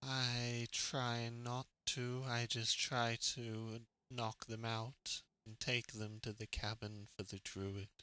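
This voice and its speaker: A man performs a put-on character voice. He goes at a very slow pace with monotone, flat intonation. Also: medium pitch for a man. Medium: actual play. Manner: slow, deliberate, simple.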